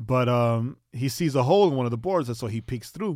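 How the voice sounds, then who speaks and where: A man talks in a New York accent. The recording is very clean, with a silent background. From New York, Queens. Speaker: podcast co-host. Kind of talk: casual chat.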